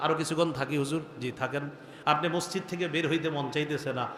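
A man speaks in a fairly high voice with fairly even intonation. Noticeable background noise can be heard. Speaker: Islamic scholar, waz preacher. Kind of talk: Islamic sermon (waz) delivered to an audience. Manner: conversational, rhetorical questions, earnest.

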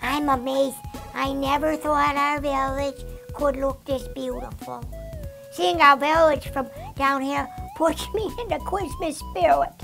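Clear music plays behind a female-sounding, cartoonish character voice pitched high. It moves at a moderate pace. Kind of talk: children's puppet show. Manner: enthusiastic, wholesome.

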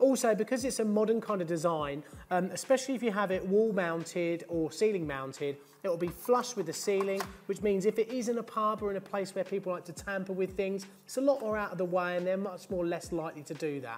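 The speech runs at a very fast pace with ordinary pitch variation while music plays in the background. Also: man, high pitch for a man. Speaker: presenter. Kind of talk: tutorial. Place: studio. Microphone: lapel.

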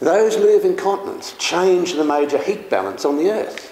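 Man with an Australian accent at a moderate pace, with audible room echo and light background noise. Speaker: geologist. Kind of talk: public talk. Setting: public meeting in parliament. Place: hall. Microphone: camera far.

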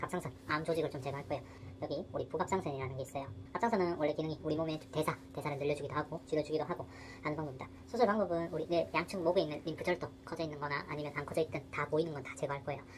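Over light background noise, a woman talks at a very fast pace in a very deep, low pitch. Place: office. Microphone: phone near.

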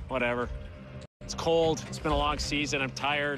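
Clear music plays in the background. The sound is dry with no echo. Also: man. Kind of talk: casual on-the-job remarks. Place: open country.

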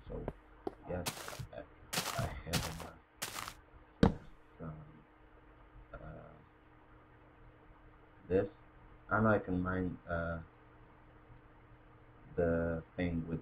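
Very slow, quiet speech with long, frequent pauses, big swings in loudness, ordinary pitch variation and noticeable background noise. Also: man, very deep, low pitch for a man. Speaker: gamer. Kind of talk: casual video game commentary. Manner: quiet, low volume recording.

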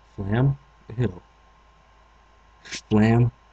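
A man's dark, mellow voice comes through somewhat breathy, with a dry, close sound and no echo. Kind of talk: let's play gaming commentary.

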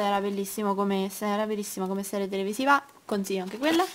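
A woman talks at a very fast pace with ordinary pitch variation. Noticeable background noise runs underneath. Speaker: vlogger. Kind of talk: casual vlog, showing planners to camera. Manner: rambling, hesitant, chatty.

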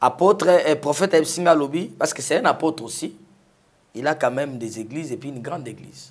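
A man with a fairly high pitch speaks very fast yet pauses long and often. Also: ordinary pitch variation. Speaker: testimony giver, former rebel. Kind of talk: testimony. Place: studio. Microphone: lapel.

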